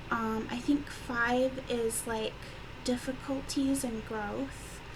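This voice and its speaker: Quiet and very slow, a woman speaks at a high pitch in monotone, flat intonation, with audible room echo and noticeable background noise. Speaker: tarot reader. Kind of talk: tarot reading. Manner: hesitant, many fillers.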